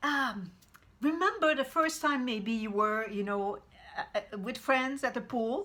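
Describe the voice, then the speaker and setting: A woman talks at a fairly slow pace with a Quebec accent. Her tone is bright and sharp. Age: 60s. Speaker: vegan cooking coach. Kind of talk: motivational talk to camera. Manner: halting, many repetitions.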